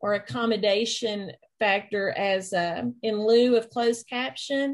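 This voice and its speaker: A woman with a strong East Tennessee accent, fairly high-pitched, with ordinary pitch variation and a fairly slow pace. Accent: thick East Tennessee. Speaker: instructional technology trainer. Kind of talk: online training session.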